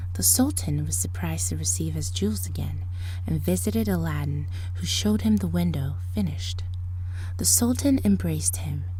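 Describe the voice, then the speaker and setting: Against music in the background, a woman with a very deep, low pitch talks at a fairly quick pace in a dramatic tone with monotone, flat intonation. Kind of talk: ASMR storybook reading, fairy tale narration. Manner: softly spoken with occasional louder dramatic passages.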